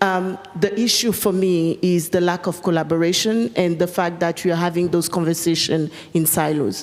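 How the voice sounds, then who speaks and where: Over noticeable background noise, a woman with a fairly low pitch talks at a moderate pace, her intonation fairly even and her loudness very even. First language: French. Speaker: panelist. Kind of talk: panel discussion. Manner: hesitant, many fillers.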